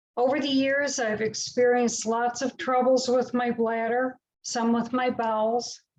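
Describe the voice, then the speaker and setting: A woman's high, flat, monotone voice at a fairly slow pace over a quiet background. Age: 60s. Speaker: patient speaker. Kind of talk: prepared talk read aloud. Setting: online webinar.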